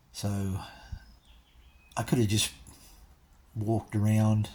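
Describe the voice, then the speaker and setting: Speaking with an Australian accent, this voice has a dark, mellow tone, a somewhat breathy quality and fairly even intonation. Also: man. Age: 60s. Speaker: vlogger. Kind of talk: casual chat. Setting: in a car. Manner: halting.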